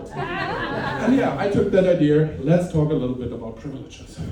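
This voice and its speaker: Male voice with a German accent, fairly high in pitch, at a moderate pace with audible room echo. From Germany. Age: middle-aged. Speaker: stand-up comedian. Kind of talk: stand-up. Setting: stage with audience. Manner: halting.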